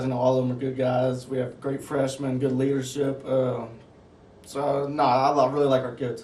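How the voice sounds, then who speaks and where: Speaking at a moderate pace with a Southern US accent, a man holds a medium pitch in a monotone, flat delivery. Audible room echo fills the recording. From US South, Mississippi Gulf Coast. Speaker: basketball assistant coach. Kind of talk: interview. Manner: casual, with many fillers.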